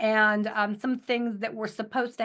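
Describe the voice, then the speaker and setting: A woman with a plain, everyday voice speaks at a fairly high pitch. Her pace is moderate, and the background is quiet. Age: 60s. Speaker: cancer survivor, product advocate. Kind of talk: testimony. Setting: audio chat.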